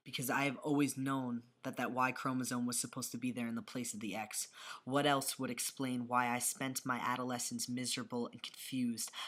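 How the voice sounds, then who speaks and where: A monotone, flat intonation at a fairly quick pace, with hardly any pauses. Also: man, medium pitch for a man. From New York. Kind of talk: poetry reading. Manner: occasionally tongue-tied.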